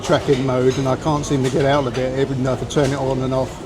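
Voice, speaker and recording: A man speaks very fast in an English accent, his pitch fairly high. Noticeable background noise and audible room echo surround him. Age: 60s. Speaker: retired travel vlogger. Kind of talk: casual vlog narration. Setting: restaurant, then outdoors on the street. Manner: halting, with many fillers.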